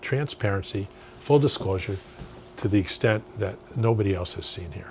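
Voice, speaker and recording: This man talks fairly quickly with ordinary pitch variation, his voice somewhat breathy. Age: 70s. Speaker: political candidate. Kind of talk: interview.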